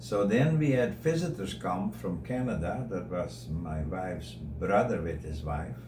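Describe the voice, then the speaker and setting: Speaking fairly slowly with a Dutch accent, a man uses a very deep, low voice with vocal fry and very wide pitch swings, and audible room echo can be heard. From Netherlands. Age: 80s+. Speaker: interviewee sharing life story. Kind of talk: radio interview.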